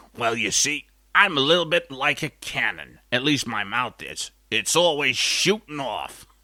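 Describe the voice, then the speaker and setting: Using a put-on character voice, a man speaks at a moderate pace in a fairly high pitch with lively intonation. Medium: comedy sketch. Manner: rambling, folksy.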